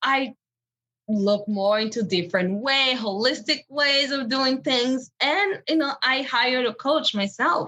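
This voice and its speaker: A woman's raised, projected voice, high-pitched, with a bright, sharp tone and lively intonation. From Benin, West Africa. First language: French. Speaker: empowerment coach. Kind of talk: interview.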